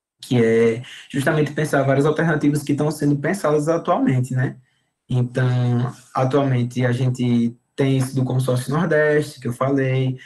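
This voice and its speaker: A man talks with a medium pitch and a somewhat breathy sound. His intonation is fairly even. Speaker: university student presenting their degree course. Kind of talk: informal talk to prospective students. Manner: fast, talkative.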